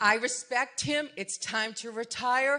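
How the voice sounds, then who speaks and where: A woman's fairly high, bright, sharp voice with lively intonation and a Massachusetts accent. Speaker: resident speaking at community meeting. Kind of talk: public comment at community meeting. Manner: animated.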